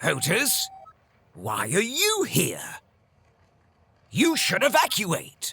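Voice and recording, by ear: A man performs a cartoonish character voice, high-pitched with a bright, sharp tone, a slightly husky edge and vocal fry. He speaks at a very slow pace, his pitch swinging very widely.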